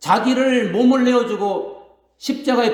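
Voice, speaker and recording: A man with an extremely high pitch. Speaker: pastor. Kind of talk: sermon. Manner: fast, stammering when excited.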